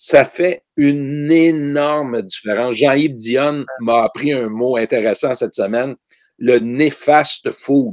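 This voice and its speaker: A man's fairly high voice with ordinary pitch variation at a very slow pace. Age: 60s. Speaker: ecologist, author and teacher. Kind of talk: interview conversation.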